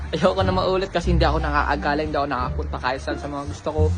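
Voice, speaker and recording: A man talking at a very fast pace, with music in the background and audible room echo. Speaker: vlogger. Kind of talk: casual vlog. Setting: outdoors.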